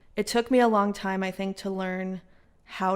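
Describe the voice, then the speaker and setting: A woman speaks with an American accent at medium pitch. The recording is very clean, with a silent background. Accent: American, with slight English slips. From San Francisco, US (then England from age 12). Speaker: writer and producer. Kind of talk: podcast interview. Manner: casual, filler-heavy (lots of 'like').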